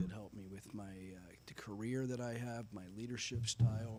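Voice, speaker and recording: The pitch swings very widely in a somewhat breathy voice with an American accent. Audible room echo fills the space. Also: man. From Northern California (Antioch). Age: 50s. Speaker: military veteran. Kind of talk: interview on live radio show. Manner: halting, many fillers.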